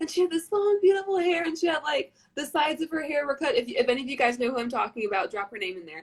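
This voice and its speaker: Talking very fast with hardly any pauses, a woman with an American accent and a high pitch makes very wide pitch swings and big swings in loudness. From North Carolina. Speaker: beauty queen, livestream host. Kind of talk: casual chat.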